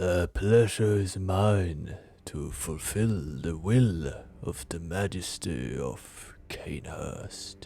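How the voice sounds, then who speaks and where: Over background music, a man performs a gravelly character voice at a very deep, low pitch, very slowly and with lively intonation. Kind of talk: archaic courtly speech. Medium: read story. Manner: slow, careful, deliberate.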